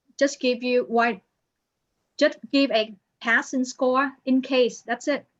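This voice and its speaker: A woman with a non-native accent speaks at a very slow pace. Her voice is high-pitched. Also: long, frequent pauses. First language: not English. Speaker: accounting instructor. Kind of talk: online class, one-on-one help.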